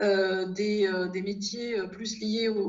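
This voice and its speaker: A woman speaks with a fairly high pitch and ordinary pitch variation, her voice somewhat breathy. Audible room echo surrounds her. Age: 50s. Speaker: financial regulation consultancy founder. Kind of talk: interview. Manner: halting, with frequent repetitions and hesitations.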